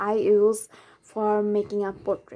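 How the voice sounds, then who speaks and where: A woman speaks with a non-native accent at a fairly high pitch. Her tone is dark and mellow. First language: not English. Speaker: art tutorial creator. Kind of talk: drawing tutorial narration.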